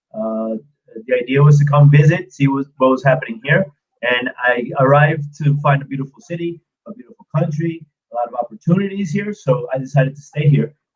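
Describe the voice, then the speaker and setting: Speaking at a fairly quick pace with a slight American accent, a man has a fairly high, somewhat breathy voice with ordinary pitch variation and big swings in loudness. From US, New York. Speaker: street art tour guide. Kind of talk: live stream interview. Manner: hesitant, many filler sounds and repeats.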